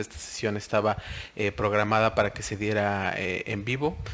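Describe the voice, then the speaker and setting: This is a man speaking. His voice sits fairly low. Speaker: software trainer. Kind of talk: recorded webinar tutorial. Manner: hesitant, many fillers.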